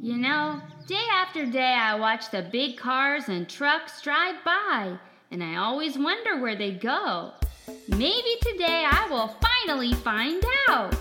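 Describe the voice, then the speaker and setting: Clear music plays behind a put-on character voice that makes very wide pitch swings at a fairly slow pace. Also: female-sounding voice, high pitch for a woman. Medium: audio drama. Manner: chipper, wide-eyed, exclamatory.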